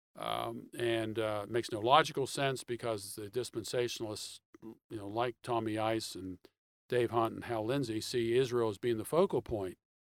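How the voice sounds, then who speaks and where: A man with an American accent and an ordinary speaking voice at a medium pitch, moderate in pace with fairly even intonation, in a dry, close sound with no echo and a very clean recording with a silent background. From Pittsburgh, Pennsylvania. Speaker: author and theology writer. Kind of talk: interview.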